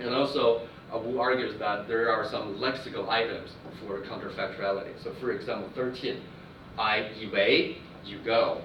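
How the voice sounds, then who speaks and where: Amid noticeable background noise and audible room echo, a man with a Chinese accent speaks at medium pitch and a moderate pace in a monotone, flat intonation. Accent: Mandarin Chinese. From China. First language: Mandarin Chinese. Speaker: linguistics professor. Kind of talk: academic lecture. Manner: halting, many fillers.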